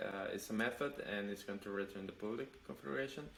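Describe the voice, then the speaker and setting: The speaker has a non-native accent. The pitch varies in an ordinary way. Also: man. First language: not English. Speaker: web developer, channel host. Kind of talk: pair programming session. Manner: halting.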